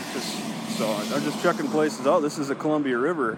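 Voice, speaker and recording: A fairly quick American accent amid noticeable background noise and audible room echo. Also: man. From US Midwest, Wisconsin. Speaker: First Amendment auditor. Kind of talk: casual conversation with police officer. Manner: halting, many repetitions and fillers.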